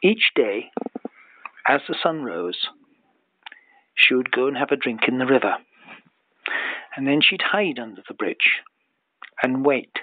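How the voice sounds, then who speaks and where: Speaking in a Scottish accent, a man with a medium pitch uses lively intonation at a fairly slow pace, with long, frequent pauses. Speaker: storyteller. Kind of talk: bedtime story. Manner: improvised, unhurried.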